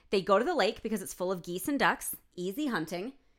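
With an American accent and a bright, sharp tone, the speaker races at a very fast pace through very wide pitch swings on a very clean recording with a silent background. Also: woman. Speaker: podcast co-host. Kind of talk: casual chat.

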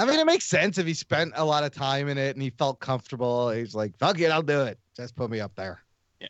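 A fairly high-pitched man talks at a very fast pace with lively intonation. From USA. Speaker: podcaster. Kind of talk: casual chat.

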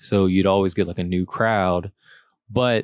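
The speaker has a Louisiana accent and fairly even intonation. The recording is very clean, with a silent background. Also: man. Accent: Southern US (Louisiana). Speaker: comedian. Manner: laid-back.

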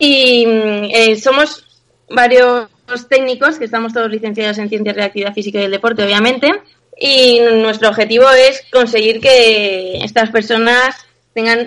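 A woman's fairly high, a normal speaking voice, at a moderate pace with fairly even intonation. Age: 20s. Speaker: personal trainer. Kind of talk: interview.

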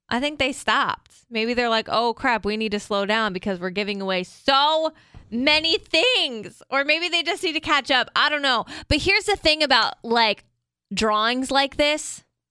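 A woman speaks at a moderate pace in a high, raised, projected voice with a bright, sharp tone. Her pitch swings very widely, and the sound is dry and close with no echo. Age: 20s. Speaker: podcast co-host. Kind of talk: casual chat.

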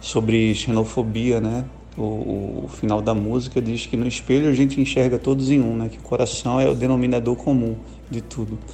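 A man talks at a moderate pace, and audible room echo hangs around his words. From Pernambuco, Brazil. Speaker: rock band musician. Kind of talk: interview. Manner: casual, hesitant with repetitions.

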